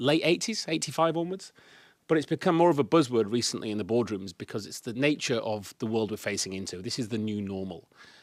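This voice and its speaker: A man with a Yorkshire accent speaks fairly quickly at a medium pitch with lively intonation. The recording is very clean, with a silent background. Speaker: speaker and consultant. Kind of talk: presentation. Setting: live meetup event with audience. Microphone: microphone without on button, checking audibility.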